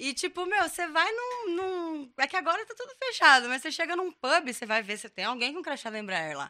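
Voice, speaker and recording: She speaks with an extremely high pitch, fairly quickly, in a raised, projected voice. Her pitch swings are very wide, and the speaker is a woman. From Brazil, São José dos Campos (São Paulo state). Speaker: meme page admin. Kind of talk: casual chat.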